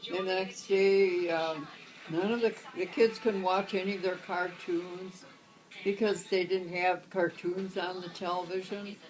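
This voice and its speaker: A woman speaks at a fairly slow pace in a medium pitch, her intonation monotone and flat, with music playing in the background. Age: 80s+. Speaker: grandmother. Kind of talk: interview answer, telling life stories.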